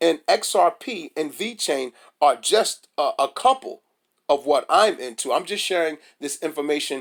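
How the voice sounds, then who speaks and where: The recording is very clean with a silent background. A man speaks in an animated tone at a moderate pace. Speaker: crypto YouTuber. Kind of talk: casual vlog commentary.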